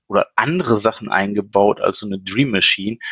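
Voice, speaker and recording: Talking at a fairly quick pace, a man uses a normal speaking voice of medium pitch with ordinary pitch variation. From Ruhr area, Germany (Essen). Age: 40s. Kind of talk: casual chat.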